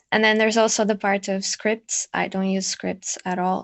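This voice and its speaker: A woman speaks with a medium pitch. Her intonation is monotone and flat. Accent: non-native. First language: not English. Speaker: ASMR content creator. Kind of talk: panel discussion.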